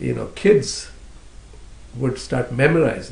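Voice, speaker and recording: Fairly slow speech from a man, with room echo clearly audible. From India, southern coastal Karnataka. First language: Konkani. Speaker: poet. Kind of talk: interview. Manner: hesitant, many fillers.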